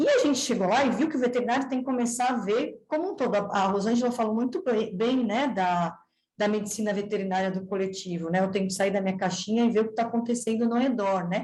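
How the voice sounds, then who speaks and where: Talking at a very fast pace with hardly any pauses, a woman keeps a very even loudness, a fairly high pitch and ordinary pitch variation. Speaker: veterinarian researcher. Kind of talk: seminar presentation.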